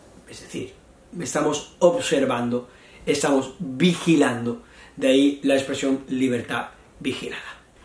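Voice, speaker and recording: A man speaks at a fairly slow pace while noticeable background noise carries on. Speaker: Spanish teacher. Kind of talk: lesson. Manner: slow, repetitive explanation.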